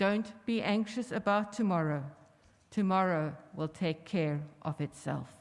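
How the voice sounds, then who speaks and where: A woman at a medium pitch with ordinary pitch variation, a fairly slow pace, and a quiet background. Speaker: minister; minister at memorial service. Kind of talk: scripture reading and prayer. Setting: church. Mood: calm, solemn. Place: church. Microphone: podium.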